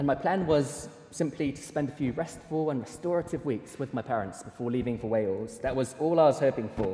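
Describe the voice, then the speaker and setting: With noticeable background noise behind him, a man speaks fairly quickly in a fairly high pitch, with lively intonation and hardly any pauses. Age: 20s. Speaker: preacher. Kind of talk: sermon.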